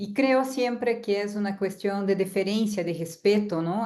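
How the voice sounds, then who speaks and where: Against a quiet background, a woman speaks at medium pitch with a dark, mellow tone and fairly even intonation. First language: Portuguese (speaking Spanish). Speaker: university lecturer. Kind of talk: lecture. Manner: halting.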